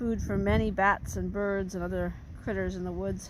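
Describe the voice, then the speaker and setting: Her speech moves along fairly quickly. The room around this woman gives off an audible echo. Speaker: naturalist and nature educator. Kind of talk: guided nature walk narration. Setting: outdoors in the woods.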